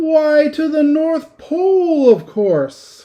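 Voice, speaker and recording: A man puts on a character voice, squeaky and extremely high in pitch. He speaks at a very slow pace. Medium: read story. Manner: brisk, authoritative.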